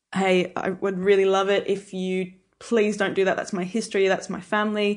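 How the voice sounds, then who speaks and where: Over a quiet background, a woman with an Australian accent speaks at a moderate pace and medium pitch in a monotone, flat intonation. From rural New South Wales, Albury (born in England). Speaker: winemaker. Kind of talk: casual interview chat.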